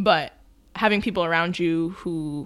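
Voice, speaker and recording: Using an ordinary speaking voice, a woman keeps a fairly low pitch and fairly even intonation at a moderate pace. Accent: American. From New York. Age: 20s. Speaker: documentary producer. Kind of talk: casual chat.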